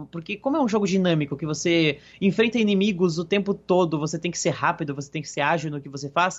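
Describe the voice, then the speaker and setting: A man's high-pitched voice at a very fast pace, hardly any pauses, ordinary pitch variation and big swings in loudness. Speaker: gaming podcast co-host. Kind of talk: casual chat.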